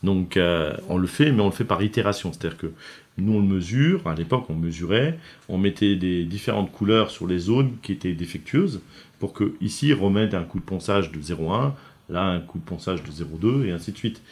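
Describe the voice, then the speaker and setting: The speaker is a man with a very deep, low voice. He talks at a moderate pace with lively intonation. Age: 50s. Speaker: company founder and president. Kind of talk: interview. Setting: factory. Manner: halting, many fillers.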